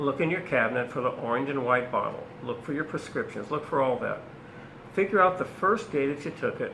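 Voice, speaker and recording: With audible room echo around him, a man talks at a fairly high pitch with lively intonation. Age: 70s. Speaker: naturopath. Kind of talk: casual chat.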